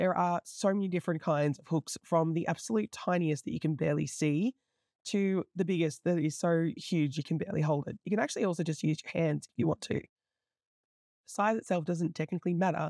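A woman talks at a fairly quick pace in an Australian accent, her pitch fairly low with ordinary variation. Her tone is dark and mellow, and the sound is dry and close with no echo. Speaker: crochet teacher. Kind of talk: tutorial.

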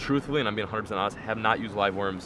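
A man speaks with ordinary pitch variation. The sound is dry with no echo, and there is noticeable background noise. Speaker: fishing vlogger. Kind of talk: tutorial. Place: boat. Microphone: phone near.

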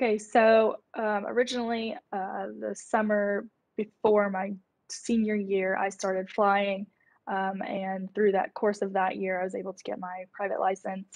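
A woman speaks with an American accent at a fairly slow pace. Her intonation is monotone and flat, and the background is quiet. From Central Florida, US. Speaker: university student; panelist. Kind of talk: live Q&A panel; interview answer. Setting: livestream broadcast. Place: home room. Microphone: video call.

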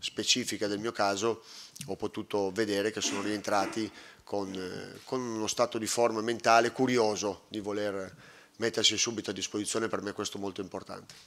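Talking at a fairly quick pace, a man holds a fairly low pitch with a monotone, flat intonation. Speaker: football coach. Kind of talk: press conference answer. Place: hall.

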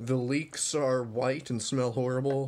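Light background noise under a man speaking. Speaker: vlogger. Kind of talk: casual vlog chat. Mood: disgusted, amused, agitated. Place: kitchen. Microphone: phone near.

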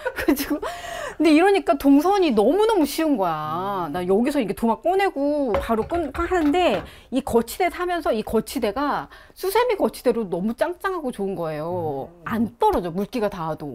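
Cheerful in tone, a woman with a high pitch speaks at a moderate pace, her voice swinging very widely in pitch. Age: 50s. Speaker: housewife. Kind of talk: casual talk in home interview. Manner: lively, chatty, cheerful. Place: kitchen. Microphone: lapel.

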